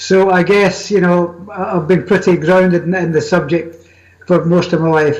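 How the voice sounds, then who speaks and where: A man with a Scottish accent speaks in a high pitch at a moderate pace, his intonation monotone and flat, with noticeable background noise. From Scotland. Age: 70s. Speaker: magazine editor and paranormal author. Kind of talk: interview.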